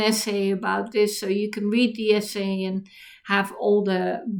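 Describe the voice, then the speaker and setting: Her pitch sits fairly high for a woman. She speaks at a moderate pace with a Dutch accent. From Netherlands. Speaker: writer and YouTuber. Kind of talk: casual talk to camera on history. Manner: halting, many fillers and restarts.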